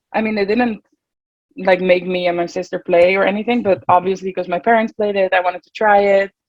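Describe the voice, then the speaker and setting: Speaking in a Dutch accent at a fairly quick pace, a woman of medium pitch keeps a fairly even intonation while her loudness swings widely. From Netherlands, Nieuwegein near Utrecht. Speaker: college water polo player. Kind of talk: interview.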